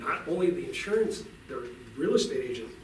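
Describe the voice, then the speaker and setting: Background noise is noticeable in this clip of a man talking. His voice also carries audible room echo. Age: 60s. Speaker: utility company representative. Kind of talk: talk to a club meeting.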